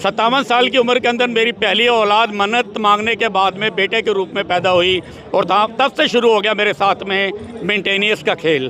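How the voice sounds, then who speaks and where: Over noticeable background noise, a man with a high pitch speaks at a moderate pace, keeping very even loudness and ordinary pitch variation. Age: 60s. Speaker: protester. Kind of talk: street interview.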